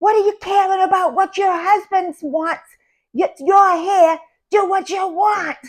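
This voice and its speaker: A put-on character voice shouts loudly at an extremely high pitch. The pace is fairly slow. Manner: yelling loudly, exasperated.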